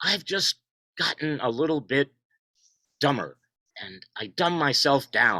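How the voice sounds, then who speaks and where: A man with fairly high pitch speaks in a bright, sharp tone with vocal fry. He talks at a fairly slow pace with long, frequent pauses, in a dry, close sound with no echo. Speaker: poet and contributor to an essay collection. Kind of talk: video call panel discussion. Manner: loud; halting, repeats words.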